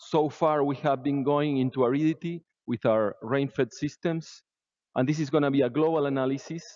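A man's voice, dry with no echo, over a quiet background. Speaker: conference presenter. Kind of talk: lecture. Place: hall.

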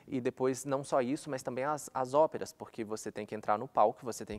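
With fairly even intonation, a man talks fairly quickly at a medium pitch. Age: 20s. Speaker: opera singer. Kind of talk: monologue. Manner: halting. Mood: calm, reflective. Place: studio.

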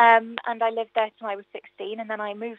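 A woman with a South Welsh accent, fairly high in pitch, monotone and flat in intonation, at a moderate pace. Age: 20s. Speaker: singer and radio travel presenter. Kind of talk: casual chat. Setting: radio studio.

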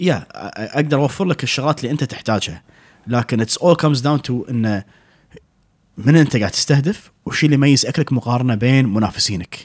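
Against a quiet background, a man talks fairly quickly with lively intonation. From Kuwait. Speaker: restaurant owner and chef; podcast guest. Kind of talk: casual interview chat. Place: studio. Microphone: studio mic.

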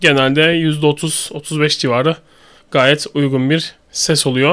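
A man speaks with a fairly bright tone and a fairly high pitch.

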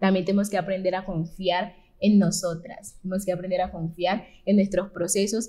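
A woman speaks in a somewhat breathy voice. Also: quiet background. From Colombia. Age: young. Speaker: youth leader. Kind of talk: panel discussion. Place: studio.

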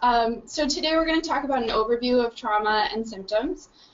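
Over noticeable background noise, a woman talks at a fairly quick pace with ordinary pitch variation. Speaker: presenter. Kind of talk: lecture. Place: meeting room. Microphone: camera far.

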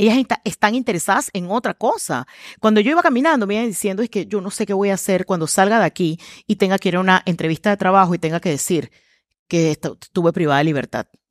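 A woman talks at a very fast pace with lively intonation. The sound is dry with no echo, and the background is quiet. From Panama. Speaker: communications trainer and speaker; communications trainer, speaker. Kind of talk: interview conversation. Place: studio. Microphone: headset.

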